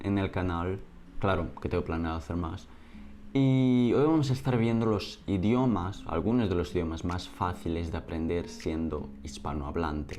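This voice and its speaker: Through audible room echo, a man with a Portuguese accent speaks at a fairly slow pace in a very deep, low pitch, his tone dark and mellow and his intonation lively. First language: Portuguese (speaking Spanish). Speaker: language YouTuber. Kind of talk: educational video narration.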